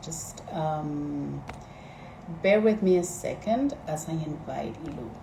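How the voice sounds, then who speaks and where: A woman with a Spanish accent at a very slow pace, lively intonation, audible room echo and noticeable background noise. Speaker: organizer at a feminist think tank, live stream host. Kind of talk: live stream introduction. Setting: Instagram live stream. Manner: hesitant, many fillers.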